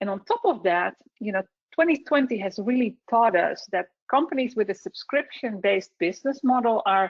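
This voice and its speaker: Her intonation is lively and her pitch fairly high. This woman speaks with a Dutch accent. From Netherlands. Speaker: software solutions specialist. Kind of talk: webinar presentation. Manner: halting.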